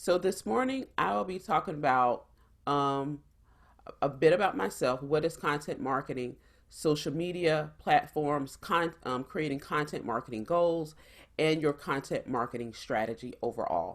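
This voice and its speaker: A woman's very deep, low voice in a South Carolina accent, at a moderate pace, on a very clean recording with a silent background. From US South, South Carolina. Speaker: startup founder and engineer. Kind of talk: presentation.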